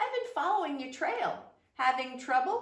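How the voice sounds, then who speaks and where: A woman puts on a character voice, high in pitch with very wide pitch swings. She keeps a moderate pace, and a slight echo is audible. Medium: read story.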